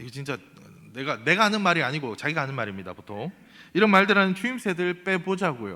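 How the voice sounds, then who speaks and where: A man with a high, bright, sharp voice speaks at a very fast pace, with big swings in loudness and very wide swings in pitch. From South Korea, Ulsan. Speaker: pastor. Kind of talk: sermon. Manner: animated.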